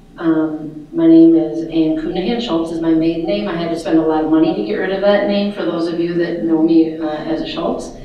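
Strong room echo surrounds a voice with fairly even intonation. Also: woman. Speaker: candidate. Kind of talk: candidate introduction speech. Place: hall.

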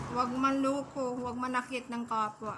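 Against noticeable background noise, a woman with a high pitch uses a raised, projected voice, speaking at a fairly slow pace with monotone, flat intonation. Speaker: vlogger, solo parent caring for an elderly homeless man. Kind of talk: casual vlog chat. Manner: halting, many fillers.

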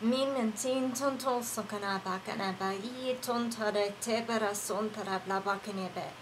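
Her voice sits fairly high for a woman. Noticeable background noise is present. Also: moderate pace. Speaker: online prayer minister. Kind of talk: fervent prayer, mixing spoken intercession with speaking in tongues. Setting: live online broadcast. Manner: impassioned, reverent, flowing in rhythmic bursts of praise; warm and conversational between prayers, hesitant, filler-heavy.

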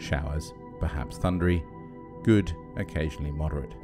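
Music plays in the background. A man with a very deep, low pitch talks at a moderate pace. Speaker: ex-professional marine radio operator. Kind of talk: shipping forecast reading, sleep aid. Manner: soothing, calm, measured.

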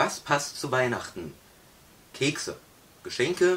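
A man talks very slowly, his intonation lively. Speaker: host introducing his father. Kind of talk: casual talk to camera. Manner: upbeat. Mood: cheerful festive. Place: home room. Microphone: camera far.

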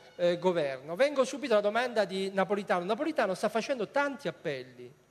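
This man has a high-pitched voice. He talks at a fairly quick pace. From Italy. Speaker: politician. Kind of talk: political debate. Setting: stage with audience. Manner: animated. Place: stage. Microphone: handheld.

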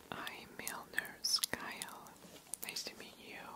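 A soft-spoken man against loud background noise. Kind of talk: soft-spoken role-play to viewer. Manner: soft, close ASMR voice. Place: home room.

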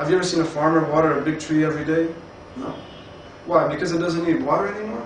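A man with a fairly high voice talks very fast, with long, frequent pauses. Light background noise and audible room echo come through on the recording. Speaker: network marketing presenter. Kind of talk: sales pitch. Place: home room. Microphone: camera far.

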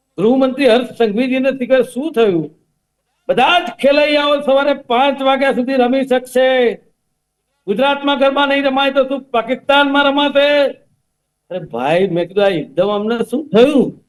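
Against a quiet background, a man is talking. His pitch is extremely high. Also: ordinary pitch variation. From Ahmedabad, Gujarat. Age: 50s. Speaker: political panelist. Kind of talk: heated debate. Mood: critical, argumentative. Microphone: video call.

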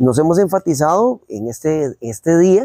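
A man speaks with lively intonation in a dark, mellow tone. The sound is dry with no echo, and the background is quiet. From Costa Rica. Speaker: agricultural radio program host. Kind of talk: radio program presenting. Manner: formal. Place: open country. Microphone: lapel.

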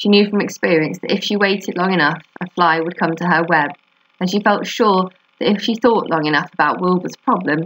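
A reading voice that sounds unforced

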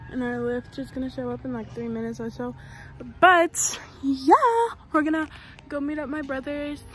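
A woman talks at a moderate pace with big swings in loudness, the sound dry with no echo and light background noise behind her. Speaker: vlogger. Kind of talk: casual vlog chat. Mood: cheerful, laughing. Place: street. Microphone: phone near.

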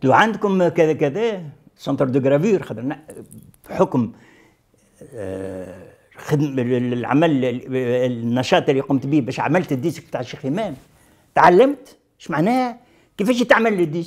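A man's pitch swings very widely as he speaks at a moderate pace over a quiet background. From Tunisia, Sahel (Moknine); Tunisia. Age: 70s. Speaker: veteran leftist activist; interviewee. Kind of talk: testimony interview. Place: office.

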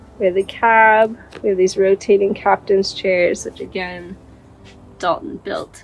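Over faint background music, a woman speaks with ordinary pitch variation. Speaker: van owner vlogger. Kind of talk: casual vlog chat and van tour. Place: car. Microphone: phone near.

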